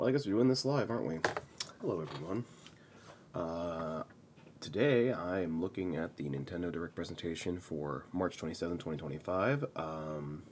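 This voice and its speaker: A soft-spoken man with a very deep, low voice talks at a moderate pace with lively intonation. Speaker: gaming video creator. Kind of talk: live reaction commentary. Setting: home recording at 6 AM. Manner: soft-spoken, talking quietly.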